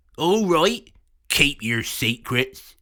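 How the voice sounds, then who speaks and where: A croaky, put-on character voice from a man, pitched fairly high. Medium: read story. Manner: coarse, rowdy and teasing.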